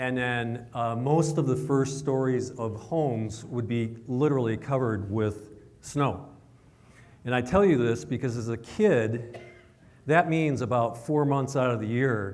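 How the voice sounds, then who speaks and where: A man speaks at medium pitch with an American accent and ordinary pitch variation. His pace is fairly slow, and there is audible room echo. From Michigan, US Midwest. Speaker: chief science advisor. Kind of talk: presentation to a live audience. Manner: conversational, asks audience questions.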